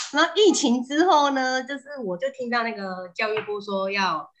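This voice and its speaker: The speaker is a woman. She uses lively intonation. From southern Taiwan. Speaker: housewife and mother. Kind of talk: casual chat. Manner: animated.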